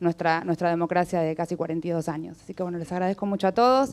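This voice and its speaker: A woman speaks in an ordinary speaking voice at a medium pitch. Her intonation is fairly even. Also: very clean recording, silent background. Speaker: human rights activist. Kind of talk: welcome speech. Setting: event venue with audience.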